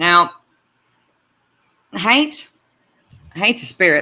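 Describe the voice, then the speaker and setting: The voice carries a Southern US accent in a very clean recording with a silent background. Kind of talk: casual talk to camera.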